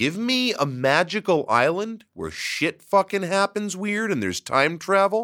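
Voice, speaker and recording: Over a silent background in a very clean recording, a man speaks at a very slow pace. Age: 40s. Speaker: podcast host. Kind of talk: casual chat.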